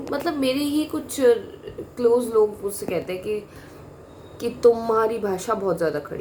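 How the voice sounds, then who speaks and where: Amid noticeable background noise, a woman speaks at a fairly high pitch with very wide pitch swings. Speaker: vlogger. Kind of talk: personal monologue. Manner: blunt, direct.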